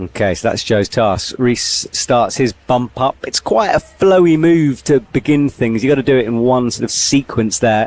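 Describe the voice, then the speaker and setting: A man with an ordinary speaking voice talks at a moderate pace with hardly any pauses, very even loudness and ordinary pitch variation, in a dry, close sound with no echo. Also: medium pitch for a man. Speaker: climbing commentator. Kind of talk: live commentary. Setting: commentary box.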